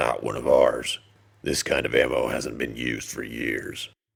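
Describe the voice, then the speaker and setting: A man does a raspy, put-on character voice. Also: moderate pace. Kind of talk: gruff military understatement. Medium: read story. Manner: terse, deadpan, low-key.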